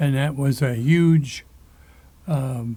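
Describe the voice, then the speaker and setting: With an American accent, a man speaks at a fairly high pitch in a dark, mellow tone. His voice is somewhat breathy and his intonation fairly even. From rural Michigan, US Midwest. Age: 80s+. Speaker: farmer, show host. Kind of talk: casual chat. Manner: halting, many fillers.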